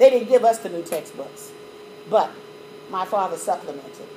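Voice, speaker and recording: Against noticeable background noise, a woman with an American accent speaks in an animated tone at a moderate pace. Her pitch is fairly high and her intonation is lively. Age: 60s. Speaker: mathematics educator. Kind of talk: lecture.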